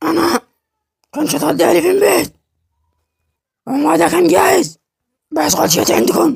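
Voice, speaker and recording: A man with a Yemeni accent at a fairly slow pace, very even in loudness, with long, frequent pauses. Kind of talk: comedic dub of a drama character.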